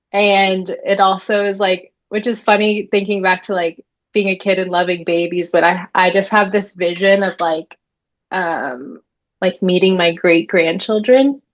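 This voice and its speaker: In an ordinary speaking voice, a woman talks at a fairly slow pace with a medium pitch and fairly even intonation. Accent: American. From Florida. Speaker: birth keeper. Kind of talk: casual chat.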